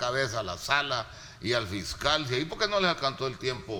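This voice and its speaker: Medium pitch and lively intonation from a man at a moderate pace, with noticeable background noise. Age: 60s. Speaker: political panelist. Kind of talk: panel debate.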